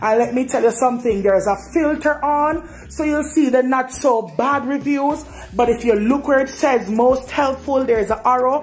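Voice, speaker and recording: A woman with a Jamaican accent talks at a moderate pace in a high pitch, hardly pausing. Noticeable background noise is present. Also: ordinary pitch variation. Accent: Jamaican Creole patois. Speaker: dissatisfied hotel guest. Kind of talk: complaint testimony. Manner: animated.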